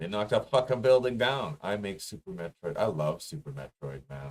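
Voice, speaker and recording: A somewhat breathy voice with very wide pitch swings, in a dry, close sound with no echo. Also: man. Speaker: musician and streamer. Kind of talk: casual live-stream rant. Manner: rambling, halting with repeats.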